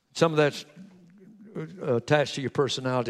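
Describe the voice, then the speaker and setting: Here a man talks with an American accent. His pitch is fairly high and his pace is very fast. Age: 60s. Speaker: pastor. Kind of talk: sermon. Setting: church.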